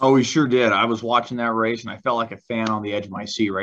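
The background is quiet. A man talks at a very fast pace with fairly even intonation. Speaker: motorsports commentator co-host. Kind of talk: casual chat.

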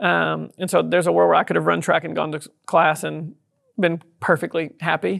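The voice has a Texas accent. It moves at a fairly quick pace. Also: man. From southeast Texas. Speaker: tech company founder and CEO. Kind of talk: interview.

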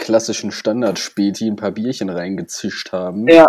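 In a very clean recording with a silent background, a man speaks at a moderate pace with a fairly low pitch and a dark, mellow tone. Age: 20s. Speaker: podcast co-host, parliamentary staffer. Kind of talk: casual chat. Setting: at home in front of PC.

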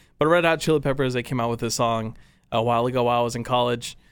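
In a very clean recording with a silent background, a man with an American accent speaks very fast at a medium pitch with fairly even intonation. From Texas, Dallas area (Farmers Branch). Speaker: radio and video producer. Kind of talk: casual interview.

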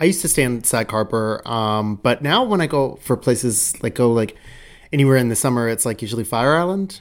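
The recording is very clean, with a silent background. The speaker moves at a fairly quick pace. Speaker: podcast host. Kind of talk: casual interview chat.

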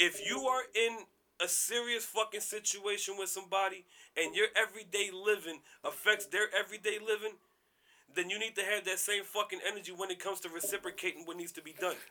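Raising and projecting his voice, a man speaks at a high pitch and fairly quick pace, his tone bright, sharp and animated. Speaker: podcast host. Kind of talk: casual chat.

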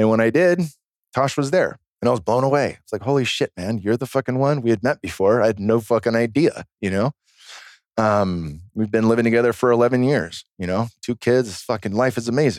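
Over a very clean recording with a silent background, a man with an ordinary speaking voice talks fairly quickly at a medium pitch with ordinary pitch variation. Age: 40s. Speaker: former pro fighter and plant medicine practitioner. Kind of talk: casual chat.

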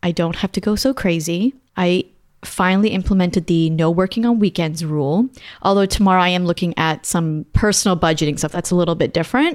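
A woman with an unremarkable speaking voice talks at a fairly quick pace with a fairly low pitch, ordinary pitch variation and very even loudness. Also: very clean recording, silent background. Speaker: podcast host. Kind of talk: casual chat.

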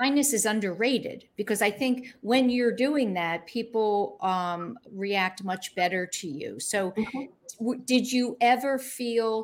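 A woman with an unremarkable speaking voice talks at a fairly slow pace in a fairly high pitch, with ordinary pitch variation and hardly any pauses. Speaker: talk show host. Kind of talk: interview. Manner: warm, chatty with frequent fillers.

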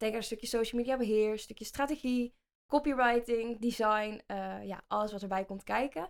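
With a slight Brabant accent, a woman talks at a fairly high pitch and a moderate pace. Her intonation is fairly even, and the recording is very clean with a silent background. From Netherlands, North Brabant (Vinkel near Den Bosch). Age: 20s. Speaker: podcast co-host, social media agency owner. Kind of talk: casual chat.

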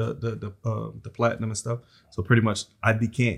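On a very clean recording with a silent background, a man with an American accent talks at a fairly low pitch with vocal fry. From South Philadelphia. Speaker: entrepreneur, tow truck and recycling business owner. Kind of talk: casual interview.

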